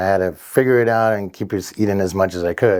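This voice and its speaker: A man speaks with a Spanish accent at a fairly quick pace. His pitch is fairly low and his intonation fairly even. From Mexico, then Downey, California from about age 12. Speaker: fitness trainer and gym owner. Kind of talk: podcast interview.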